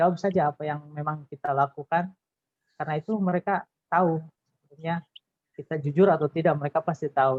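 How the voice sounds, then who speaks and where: This man talks at a fairly quick pace in a fairly high pitch, keeping his intonation fairly even. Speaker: alumnus, employee. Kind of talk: webinar talk sharing tips.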